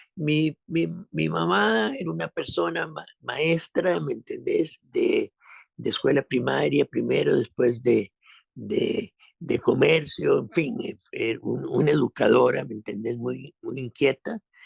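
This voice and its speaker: Recorded with a dry, close sound and no echo, a man speaks at a very slow pace. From Costa Rica. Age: 70s. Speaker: actor. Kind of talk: interview conversation. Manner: halting, many repetitions.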